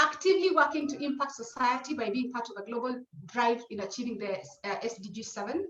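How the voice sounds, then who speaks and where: A woman talks at a very fast pace and a high pitch, with lively intonation and big swings in loudness. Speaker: webinar moderator. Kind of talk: panel webinar introduction.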